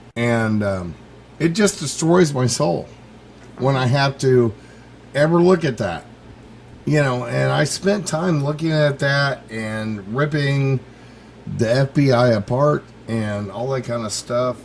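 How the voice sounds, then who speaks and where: Speaking at a very slow pace with long, frequent pauses, a man with a medium pitch is heard over noticeable background noise. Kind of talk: internet radio interview. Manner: hesitant, many fillers.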